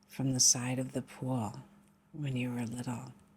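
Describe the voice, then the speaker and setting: Somewhat breathy, a woman speaks with a very deep, low pitch. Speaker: meditation guide. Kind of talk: guided meditation.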